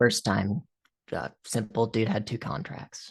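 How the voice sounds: Putting on a character voice, a man speaks at a fairly slow pace with a fairly low pitch, ordinary pitch variation, vocal fry and a slightly husky edge.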